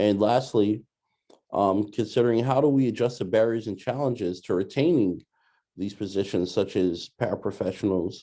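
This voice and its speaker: A man's fairly low voice with a New York accent, ordinary pitch variation and a moderate pace. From New York City (Brooklyn). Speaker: doctoral student presenting a training module. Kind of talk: recorded training presentation. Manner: hesitant, many filler words.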